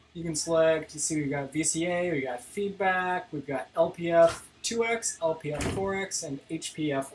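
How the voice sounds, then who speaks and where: The speech moves at a fairly slow pace. Light background noise sits behind it. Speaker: video synthesis teacher. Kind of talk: live-stream tutorial. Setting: live stream. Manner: casual; halting, many fillers. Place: home room.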